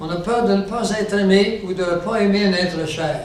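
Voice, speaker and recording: There is audible room echo and noticeable background noise. Through it, a man talks at a fairly slow pace in a high voice. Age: 70s. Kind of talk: religious teaching talk to a live audience. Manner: conversational, engaging audience with questions.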